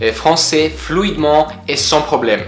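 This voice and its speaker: A man with a Polish accent talks at a fairly slow pace in a fairly high pitch, with noticeable background noise and audible room echo. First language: Polish (speaking French). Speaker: language-learning YouTuber. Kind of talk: personal explainer video. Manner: hesitant, many fillers.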